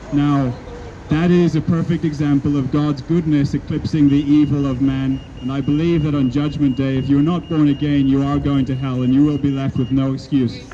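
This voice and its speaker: Over noticeable background noise, a man with a fairly high pitch speaks at a moderate pace in a monotone, flat way. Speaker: street preacher. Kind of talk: scripture reading and sermon delivered in public. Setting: outdoors, street.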